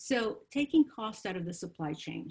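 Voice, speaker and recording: Somewhat breathy, a woman's voice rises and falls with lively intonation. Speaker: procurement consultant. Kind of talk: webinar presentation. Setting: online webinar. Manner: hesitant with many fillers.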